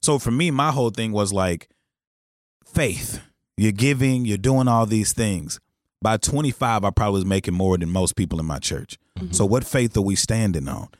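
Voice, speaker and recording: A man with a fairly low voice and an unremarkable speaking voice talks at a moderate pace with lively intonation. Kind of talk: casual chat.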